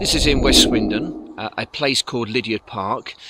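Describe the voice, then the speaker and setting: A man at a moderate pace, ordinary pitch variation, dry sound with no echo. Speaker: vlogger cyclist. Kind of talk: casual vlog chat. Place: bicycle.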